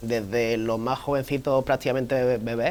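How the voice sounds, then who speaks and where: Fairly quick speech from a man in a monotone, flat intonation. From southern Spain, Fuengirola (Málaga). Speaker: podiatrist. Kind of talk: TV interview.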